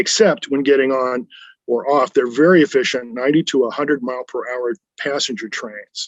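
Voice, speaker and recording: At a fairly quick pace, the speaker has an unremarkable speaking voice with ordinary pitch variation. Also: man. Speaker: US Air Force veteran. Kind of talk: first-person veteran memoir narration.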